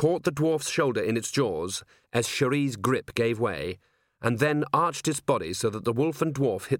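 Against a quiet background comes plain reading aloud with ordinary pitch variation.

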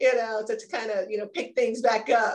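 A plain, everyday voice: a woman at a moderate pace, fairly high in pitch, with ordinary pitch variation. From Maryland, US. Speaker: former athlete, business executive. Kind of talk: interview.

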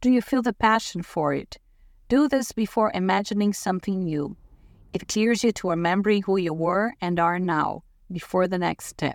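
A woman with a non-native accent at medium pitch, with ordinary pitch variation and a moderate pace, in a very clean recording with a silent background. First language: not English. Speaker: life coach. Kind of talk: scripted narration. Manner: formal.

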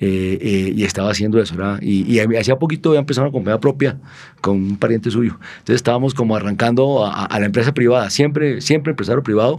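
A man talks at a very fast pace. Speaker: former city infrastructure official. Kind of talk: interview conversation.

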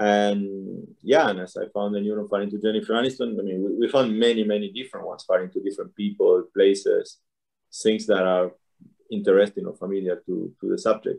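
Talking at a fairly quick pace, a man speaks with a Spanish accent. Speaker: neuroscientist and author. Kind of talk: interview.

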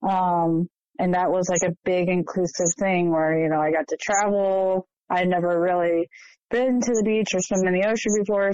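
With an American accent and an ordinary speaking voice, a woman speaks at a moderate pace and fairly low pitch with fairly even intonation. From Ohio, US Midwest. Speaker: former church member. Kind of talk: testimony.

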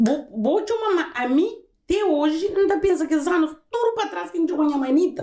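With an extremely high pitch yet a dark, mellow tone, a woman talks at a fairly quick pace with lively intonation. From Cape Verde, Santiago island. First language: Cape Verdean Creole (speaking Portuguese). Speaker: podcast host's mother. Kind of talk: casual chat.

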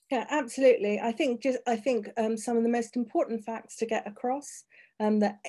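A woman with a British accent, a fairly high pitch and a dark, mellow tone, against a quiet background. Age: 50s. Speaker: HIV activist and broadcaster. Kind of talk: interview.

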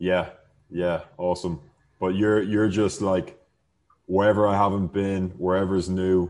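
Over a quiet background, a man talks at a fairly slow pace with long, frequent pauses in a very deep, low pitch. His intonation is monotone and flat, and his loudness is very even. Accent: Irish. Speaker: podcast host, real estate advisor. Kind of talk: casual chat.

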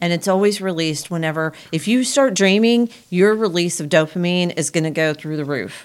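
A woman talks at a fairly quick pace with a fairly low pitch and ordinary pitch variation. She has an unremarkable speaking voice. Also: hardly any pauses. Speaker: podcast host. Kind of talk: casual conversational podcast chat.

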